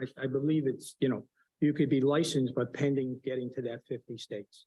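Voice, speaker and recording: The man's medium-pitched voice has a dark, mellow, somewhat breathy tone and monotone, flat intonation, moving at a fairly quick pace in a dry, close recording with no echo. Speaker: pharmacy witness. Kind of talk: hearing testimony. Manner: halting.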